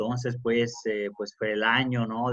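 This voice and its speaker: Fairly slow speech with a slight Italian accent, dry and close with no echo. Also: man. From Italy. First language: Italian (speaking Spanish). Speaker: academic and journalist. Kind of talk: interview. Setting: remote conversation.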